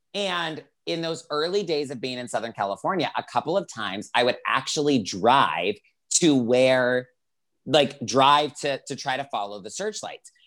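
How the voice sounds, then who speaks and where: A man's normal speaking voice in an American accent, medium in pitch, with lively intonation at a moderate pace, in a very clean recording with a silent background. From US South, Greenville, South Carolina. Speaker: life coach. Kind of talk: podcast interview.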